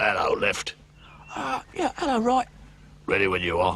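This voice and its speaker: This man uses a cartoonish character voice. His pace is moderate. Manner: brisk, playful.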